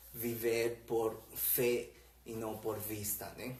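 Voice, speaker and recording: Audible room echo surrounds a man's somewhat breathy voice at a medium pitch. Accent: Spanish. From Peru. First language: Spanish (speaking Portuguese). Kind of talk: religious conversation on live stream. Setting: Facebook live stream. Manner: halting, with fillers.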